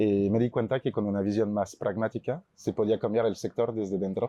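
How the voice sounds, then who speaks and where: A man's fairly low voice, fairly even intonation, moderate pace. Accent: French. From France, Chamonix (Alps). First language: French (speaking Spanish). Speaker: startup CEO. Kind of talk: panel discussion.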